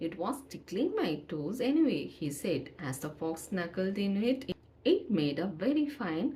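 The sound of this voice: This clip has an unforced reading voice.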